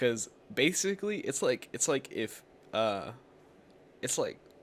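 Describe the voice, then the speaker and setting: A man talks at a moderate pace. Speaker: podcast host. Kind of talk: casual chat. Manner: halting.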